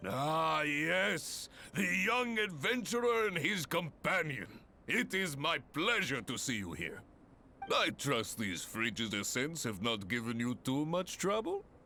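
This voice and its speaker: A man does a booming put-on character voice with a fairly high pitch and very wide pitch swings. He speaks at a fairly slow pace over clear background noise. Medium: cartoon. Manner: long-winded, booming, theatrical.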